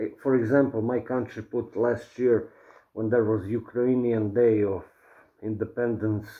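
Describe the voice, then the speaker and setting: Speaking with a non-native accent, a man talks at a fairly slow pace in a medium pitch with monotone, flat intonation. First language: not English. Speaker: vlogger. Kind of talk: casual commentary to camera. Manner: slower than usual; stuttering, halting.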